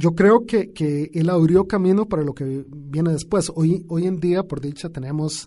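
Speaking at a fairly slow pace with hardly any pauses, a man has a high pitch, a dark, mellow tone and ordinary pitch variation. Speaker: poet. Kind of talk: radio interview. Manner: halting, many repetitions.

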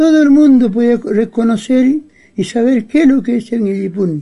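A man talks at an extremely high pitch and a fairly slow pace. Music plays in the background. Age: 80s+. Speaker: Mapuche elder. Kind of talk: interview. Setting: at his home. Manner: halting.

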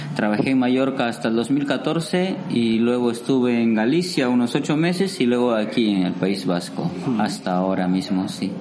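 A man at medium pitch talks at a moderate pace with lively intonation, hardly pausing, his loudness very even. The room echo is audible and background noise is noticeable. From Peru, Amazon region (Iquitos). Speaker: waiter. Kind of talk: interview.

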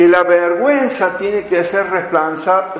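The speech moves at a very slow pace, with noticeable background noise and audible room echo. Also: man. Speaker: missionary speaker. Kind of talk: lecture.

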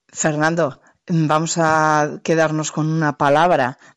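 A very slow pace, a dry, close sound with no echo and a quiet background. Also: woman. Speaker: radio journalist and podcast host. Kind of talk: interview. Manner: fluent.

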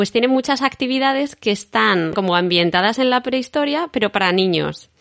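With very wide pitch swings, a woman talks at a moderate speed. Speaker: podcast host and artist. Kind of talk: casual interview chat.

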